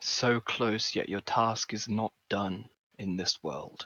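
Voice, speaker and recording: A man speaks at a fairly slow pace with a medium pitch. He is doing a put-on character voice. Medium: actual play. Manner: solemn, otherworldly.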